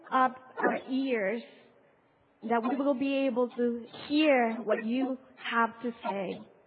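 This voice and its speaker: A woman with a non-native accent, high in pitch with ordinary pitch variation, very slow with long, frequent pauses, noticeable background noise behind her. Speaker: pastor. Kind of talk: sermon. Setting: church.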